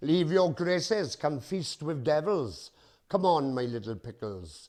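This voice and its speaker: Against a quiet background, a man with a Welsh accent talks at a fairly high pitch and fairly slow pace. His pitch swings very widely. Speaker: performance poet. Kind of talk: poetry reading.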